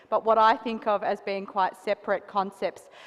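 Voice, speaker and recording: An Australian accent against a quiet background. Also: woman. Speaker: associate professor, panelist. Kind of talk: panel discussion.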